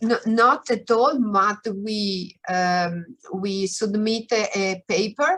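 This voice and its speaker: With an Italian accent, a woman speaks in fairly even intonation. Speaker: researcher. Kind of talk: Q&A after a lecture. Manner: halting.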